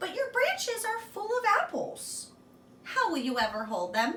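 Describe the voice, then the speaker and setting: A squeaky, put-on character voice delivers its lines at a moderate pace. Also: woman, extremely high pitch for a woman. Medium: read story.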